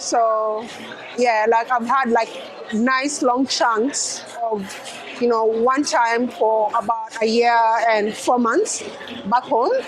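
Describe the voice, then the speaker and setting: Against noticeable background noise, a woman speaks very slowly at a fairly high pitch, with long, frequent pauses, very even loudness and fairly even intonation. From Kenya. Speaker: interviewee, Kenyan migrant. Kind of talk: street interview.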